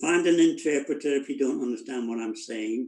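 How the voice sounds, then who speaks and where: A man with a Liverpool accent. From northern England, Liverpool. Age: 80s+. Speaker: senior fitness participant. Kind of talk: interview.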